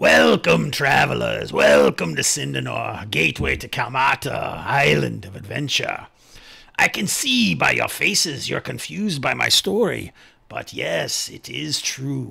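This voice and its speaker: A man's raspy put-on character voice, very deep and low, at a fairly slow pace with big swings in loudness. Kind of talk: tabletop NPC voice. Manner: grandiose, ominous welcome.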